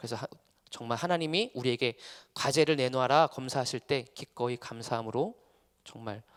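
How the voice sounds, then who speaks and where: A man's medium-pitched voice at a fairly quick pace, with ordinary pitch variation and a dry, close sound with no echo. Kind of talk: lecture. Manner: fast.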